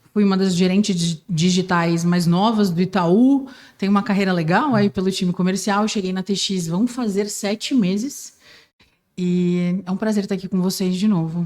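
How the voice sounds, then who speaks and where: Heard on a very clean recording with a silent background, a woman with a plain, everyday voice speaks at a moderate pace and medium pitch with fairly even intonation. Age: 20s. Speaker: sales manager. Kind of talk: casual podcast chat.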